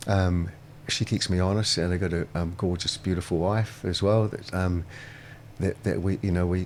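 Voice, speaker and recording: A man with a New Zealand accent speaks at a moderate pace. His pitch is very deep and low, and his intonation stays fairly even. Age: 60s. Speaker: restaurateur. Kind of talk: casual chat. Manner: halting.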